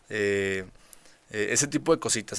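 A man with a bright, sharp tone on a very clean recording with a silent background. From rural Nuevo León, Mexico. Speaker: state agriculture official and cattle rancher. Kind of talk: casual interview. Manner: halting, many fillers and repetitions.

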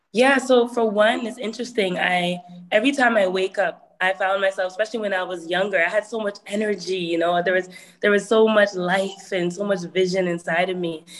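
A woman's medium-pitched voice, fairly quick with fairly even intonation, over noticeable background noise. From Toronto area, Canada. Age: 20s. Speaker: hip hop artist. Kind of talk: webinar talk. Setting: video call.

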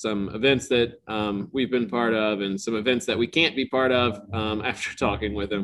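Here is a plain, everyday voice. A man speaks at a moderate pace, fairly low in pitch, with fairly even intonation. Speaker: head brewer and owner. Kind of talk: casual interview.

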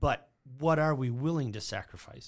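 The man's voice is pitched fairly high. Behind it, the background is silent, in a very clean recording. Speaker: church podcast host. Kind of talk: casual chat, podcast discussion. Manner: fast talker.

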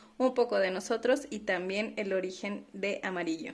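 The pace is moderate. This is an unremarkable speaking voice. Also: woman. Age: 30s. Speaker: podcast co-host, finance professional. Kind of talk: casual chat.

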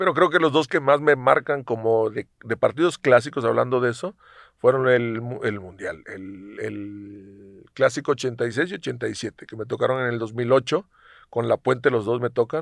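In a dry, close recording with no echo and a quiet background, a man speaks in a normal speaking voice at medium pitch, with ordinary pitch variation, big swings in loudness and a fairly slow pace. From Mexico, Coatzacoalcos, Veracruz. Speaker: retired professional footballer. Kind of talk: casual interview.

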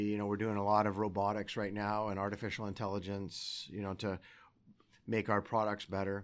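Here is a man with an unremarkable speaking voice and a Canadian accent. He keeps a moderate pace at a fairly low pitch. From Alberta, Canada (Sherwood Park). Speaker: bank CEO. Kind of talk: interview. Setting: office.

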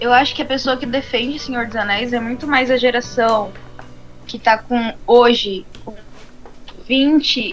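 This woman speaks in a high voice. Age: 20s. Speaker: podcast co-host. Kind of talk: casual chat. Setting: live stream.

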